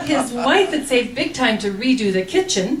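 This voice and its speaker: This woman talks at a moderate pace with very wide swings in pitch. Noticeable background noise sits behind her. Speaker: cowboy poet. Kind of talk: poetry reading.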